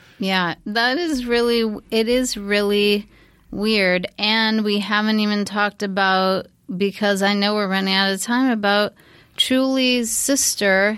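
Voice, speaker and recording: In an ordinary speaking voice at medium pitch, a woman speaks fairly slowly with fairly even intonation and very even loudness, on a very clean recording with a silent background. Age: 50s. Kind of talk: casual chat. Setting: studio.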